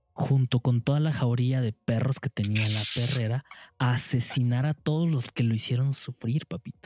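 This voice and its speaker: A man with a Mexican accent talks in a somewhat breathy voice with fairly even intonation, the sound dry and close with no echo. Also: medium pitch for a man, moderate pace. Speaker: podcast co-host. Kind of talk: casual chat.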